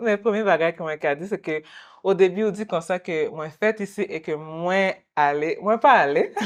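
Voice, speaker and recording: A woman at a medium pitch and moderate pace, with ordinary pitch variation, over a quiet background. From Quebec, Montreal. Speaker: guest interviewee. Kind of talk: interview. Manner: halting.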